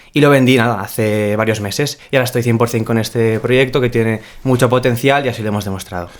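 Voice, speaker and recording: Hardly pausing, a man talks very fast at medium pitch with fairly even intonation. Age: young. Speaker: startup founder. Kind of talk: casual interview.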